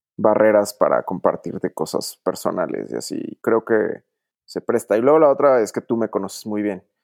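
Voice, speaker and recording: In a dry, close sound with no echo, the man's words come at a fairly slow pace. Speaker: doctor. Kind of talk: casual chat. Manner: posh-sounding.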